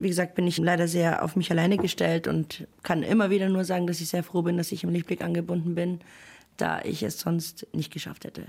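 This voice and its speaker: Fairly quick female speech, fairly low in pitch, with monotone, flat intonation. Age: 30s. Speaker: single mother, cleaner. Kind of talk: interview testimony.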